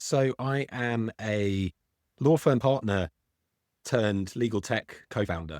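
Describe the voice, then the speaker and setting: With a British accent, a man talks at a fairly slow pace in a fairly low pitch with ordinary pitch variation, the sound dry and close with no echo and the recording very clean over a silent background. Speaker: legal tech founder, former law firm partner. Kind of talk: interview. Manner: some hesitations and repeated words.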